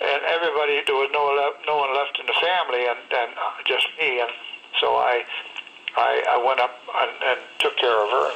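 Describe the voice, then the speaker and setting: Speaking with an American accent, a man keeps a fairly high pitch and fairly even intonation. Noticeable background noise sits under his voice. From Connecticut. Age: 80s+. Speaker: war veteran. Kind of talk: interview. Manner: halting.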